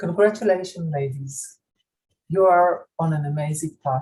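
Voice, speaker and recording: A woman with a non-native accent speaks at a fairly slow pace, her pitch fairly low with ordinary pitch variation. Her tone is dark and mellow and somewhat breathy. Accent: foreign. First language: not English. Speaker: school operations director and gender researcher. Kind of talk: ceremony speech. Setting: virtual graduation ceremony. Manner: formal.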